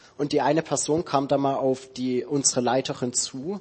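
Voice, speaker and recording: Pitched in the medium range, a man speaks in an unremarkable speaking voice with fairly even intonation. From Saxony, Dresden. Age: 20s. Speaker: theology student. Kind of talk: church interview testimony.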